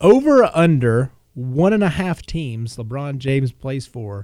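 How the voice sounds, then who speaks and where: An unremarkable speaking voice from a man, medium in pitch, fairly slow, with lively intonation, on a very clean recording with a silent background. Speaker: podcast co-host. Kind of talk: casual sports chat.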